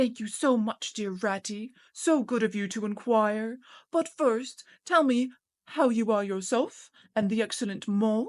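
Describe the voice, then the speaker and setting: A put-on character voice, female-sounding and fairly high-pitched, delivered at a moderate pace. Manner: weak, falsely polite.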